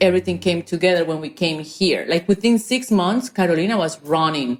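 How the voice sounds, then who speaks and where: A woman speaks in a strong Spanish accent at a moderate pace. Her fairly low pitch shows ordinary pitch variation. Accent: thick Spanish. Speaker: entrepreneur. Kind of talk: podcast interview.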